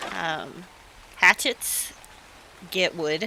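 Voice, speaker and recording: The tone is relaxed, with noticeable background noise. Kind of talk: video game tutorial narration. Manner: casual, relaxed.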